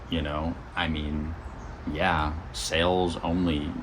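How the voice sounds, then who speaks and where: A man with a very deep, low pitch speaks with audible room echo. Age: 30s. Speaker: vlogger and magazine publisher. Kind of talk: casual vlog update. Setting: outdoors on a porch. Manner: rambling, casual.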